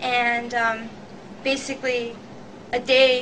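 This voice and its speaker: Over noticeable background noise, a woman talks in a high voice with monotone, flat intonation. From Albania. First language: Albanian. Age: young. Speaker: student. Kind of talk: interview answer.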